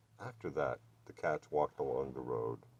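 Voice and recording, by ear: At a moderate pace, a man speaks with an extremely low pitch, ordinary pitch variation, a slightly mellow tone and a slightly husky edge.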